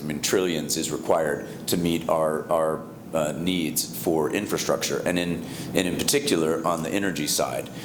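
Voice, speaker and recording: Moderate-paced speech with an American accent and fairly even intonation, audible room echo, and noticeable background noise. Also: man. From US, Colorado. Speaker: investment fund partner. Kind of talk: conference panel talk. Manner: halting, many fillers.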